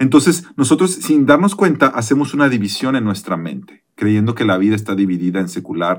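An unremarkable speaking voice from a man, fairly low-pitched, at a moderate pace with lively intonation. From Mexico. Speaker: pastor. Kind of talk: casual chat.

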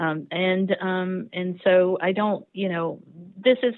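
In an American accent, a woman talks at a medium pitch with ordinary pitch variation. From US South. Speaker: historian. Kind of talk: interview. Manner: halting, many fillers.

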